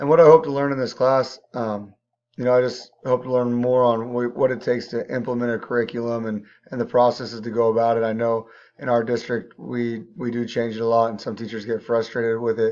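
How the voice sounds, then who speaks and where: A man talks at a fairly quick pace in a medium pitch. His intonation is monotone and flat. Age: 30s. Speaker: teacher and coach. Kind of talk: class intro video. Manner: halting, many fillers.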